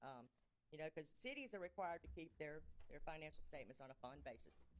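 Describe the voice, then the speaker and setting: A woman speaks at a fairly low pitch with a Mississippi accent. Vocal fry runs through her voice. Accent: Southern US (Mississippi). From US South. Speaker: auditor. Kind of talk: presentation to city council. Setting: council chamber meeting. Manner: fast.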